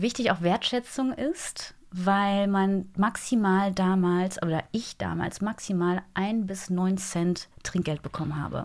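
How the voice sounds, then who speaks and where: Delivered at a very slow pace in a cheerful tone, the speech has fairly even intonation on a very clean recording with a silent background. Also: woman. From Germany, Eifel. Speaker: TV news anchor and journalist. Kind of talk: interview. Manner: cheerful, laughs often.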